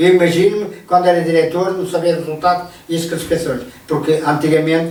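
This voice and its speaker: Audible room echo and noticeable background noise surround a man's voice. He talks at a fairly quick pace with a fairly high pitch and monotone, flat intonation. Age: 60s. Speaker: retired sports association administrator. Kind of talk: radio interview. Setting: radio studio. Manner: halting, many repetitions.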